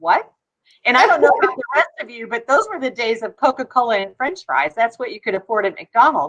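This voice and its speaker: A woman with a high pitch, very wide pitch swings and a very fast pace. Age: 60s. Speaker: chiropractor. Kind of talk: casual chat. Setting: live stream.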